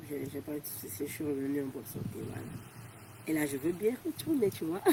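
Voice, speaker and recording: Over noticeable background noise, a woman talks at a fairly quick pace with very deep, low pitch and lively intonation. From Togo. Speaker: volunteer. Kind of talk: interview. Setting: outdoors. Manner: fast.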